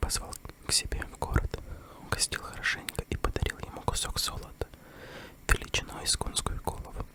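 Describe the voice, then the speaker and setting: A whisper at a fairly slow pace over noticeable background noise. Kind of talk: ASMR fairy tale reading. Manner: close whisper.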